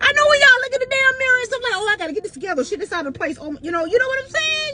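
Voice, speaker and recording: Over noticeable background noise, a woman speaks in a raised, projected voice at an extremely high pitch with an animated tone. Her pitch swings very widely and her pace is very fast. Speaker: podcast host. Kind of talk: motivational monologue. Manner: loud.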